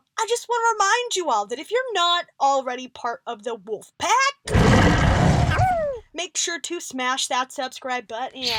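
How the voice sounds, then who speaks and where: A woman uses a put-on character voice with a high pitch. Her pitch swings very widely at a moderate pace. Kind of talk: video host outro to fans. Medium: audio drama. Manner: upbeat, energetic.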